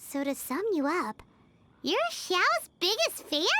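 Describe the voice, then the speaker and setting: This put-on character voice is squeaky, at an extremely high pitch. It moves at a fairly slow pace. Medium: video game. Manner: casual, wry.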